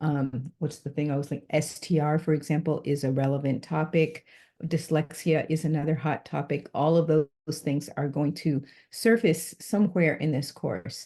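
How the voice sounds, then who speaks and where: A woman's very deep, low voice, dark and mellow in tone, at a moderate pace with fairly even intonation over a quiet background. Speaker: university instructor. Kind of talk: recorded course overview lecture. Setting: online recorded lecture.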